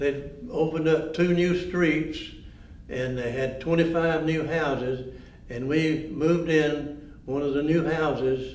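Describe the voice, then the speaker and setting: A man with a Georgia accent, fairly high pitch and fairly even intonation, at a fairly slow pace amid audible room echo and noticeable background noise. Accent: Southern US, Georgia. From US South, north Georgia mill village. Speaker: former mill village resident. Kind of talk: oral history interview.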